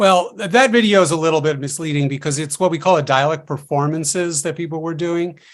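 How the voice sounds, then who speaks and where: Here a man with an American accent talks at a fairly quick pace. His pitch is fairly high, with ordinary variation. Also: very clean recording, silent background. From New York City, Queens. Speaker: linguistics professor. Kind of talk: panel discussion.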